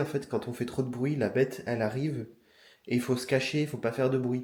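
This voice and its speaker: Talking at a very fast pace, a man has a medium pitch and fairly even intonation. His tone is dark and mellow, and somewhat breathy. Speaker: vlogger. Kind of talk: casual talk to camera.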